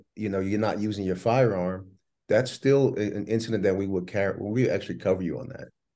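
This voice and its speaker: Against a quiet background, a man with an American accent speaks in a dark, mellow tone at fairly low pitch with fairly even intonation. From New Jersey. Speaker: business executive, firearms legal protection company co-founder. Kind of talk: casual chat. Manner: hesitant, lots of fillers.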